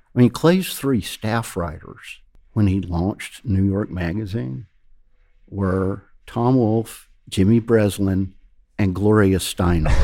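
Speaking very slowly with a Georgia accent, a man has a dark, mellow tone at a fairly low pitch with ordinary pitch variation, captured on a very clean recording with a silent background. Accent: Georgia Southern US. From Georgia, US South. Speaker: magazine founder and editor. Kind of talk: casual interview.

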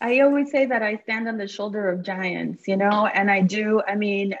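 A woman talks at a fairly quick pace with a Spanish accent. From Cuba, raised in Miami. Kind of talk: casual interview.

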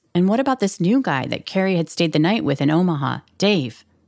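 A woman with an American accent has a normal speaking voice at a medium pitch. Her intonation is lively, and the recording is very clean with a silent background. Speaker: true crime podcast host. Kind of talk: true-crime narration. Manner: measured, storytelling, suspenseful.

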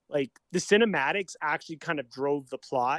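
Someone with a normal speaking voice and a Canadian accent talks at a fairly quick pace with ordinary pitch variation. The sound is dry and close, with no echo. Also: man. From Calgary, Canada. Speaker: comedian. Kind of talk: casual chat.

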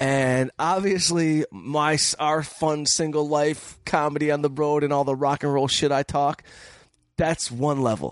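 A man with an American accent speaks in a normal speaking voice, pitched fairly high. His intonation is fairly even and his loudness very even. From Detroit, Michigan. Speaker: comedian and film director. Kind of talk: casual chat. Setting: studio.

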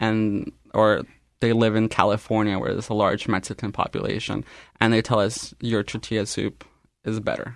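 At a moderate pace, a man with a fairly low pitch speaks in a monotone, flat intonation over a quiet background. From Canada. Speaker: restaurant owner. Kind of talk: radio interview. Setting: radio studio.

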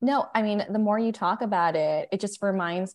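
A woman with an ordinary speaking voice, at a moderate pace with ordinary pitch variation, against a quiet background. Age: 30s. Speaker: chief marketing officer of a period care brand. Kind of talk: casual interview.

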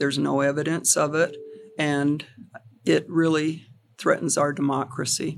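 A woman speaks with a very deep, low pitch and a flat, monotone intonation. She leaves long, frequent pauses. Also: moderate pace. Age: 70s. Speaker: county election official. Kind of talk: interview. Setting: her office.

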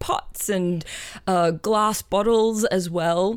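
The recording is very clean, with a silent background. A woman with an Australian accent speaks at a medium pitch. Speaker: composer and amateur archaeologist. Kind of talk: casual chat. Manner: excitable.

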